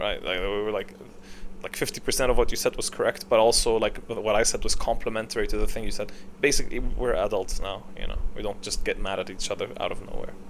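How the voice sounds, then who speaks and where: A man talks at a fairly quick pace with audible room echo around him. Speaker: podcast host. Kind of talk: casual monologue. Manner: loud; animated.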